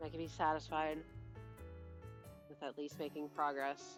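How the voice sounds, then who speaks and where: Over music in the background, a strained, put-on character voice speaks at a moderate pace and a low-to-middle pitch. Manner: forced, strained through gritted teeth.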